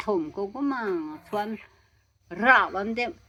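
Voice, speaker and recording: A woman speaks with a bright, sharp tone. Her pitch variation is ordinary. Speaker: elderly villager. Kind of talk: oral history interview.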